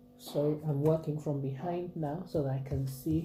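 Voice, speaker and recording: Over background music, a woman talks at a fairly slow pace. Her voice is very deep and low, with fairly even intonation. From Nigeria (Akwa Ibom State, Ibibio). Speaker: craft vlogger. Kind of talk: tutorial. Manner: chatty, informal.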